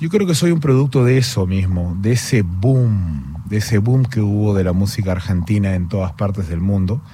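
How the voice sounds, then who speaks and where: With noticeable background noise and audible room echo, a man with a fairly low pitch and lively intonation talks at a moderate pace with hardly any pauses. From Peru. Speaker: singer-songwriter. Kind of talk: radio interview. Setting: studio.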